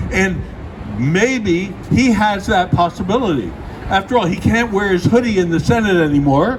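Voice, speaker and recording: Over noticeable background noise, a man speaks at a high pitch with ordinary variation and very even loudness. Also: moderate pace. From Britain. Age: 80s+. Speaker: activist speaker. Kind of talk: speech at outdoor vigil.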